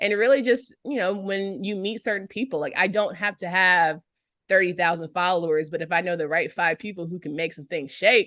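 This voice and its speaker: A woman with an American accent speaks at a fairly quick pace in a bright, sharp tone at medium pitch, with ordinary pitch variation, big swings in loudness and a quiet background. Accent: Southern, shifts with audience. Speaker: sports radio host and former swimmer. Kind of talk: casual interview chat. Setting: podcast interview. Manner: animated.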